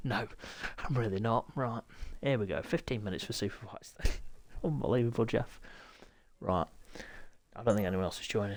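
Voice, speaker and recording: The speaker has a British accent and keeps a moderate pace. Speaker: sim racing league host and commentator. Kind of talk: live game commentary stream. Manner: hushed, trying not to shout.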